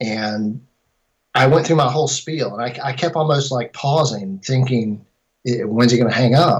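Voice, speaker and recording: This man speaks at a moderate pace with a medium pitch. His voice is somewhat breathy, with ordinary pitch variation. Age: 50s. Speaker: filmmaker. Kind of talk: interview.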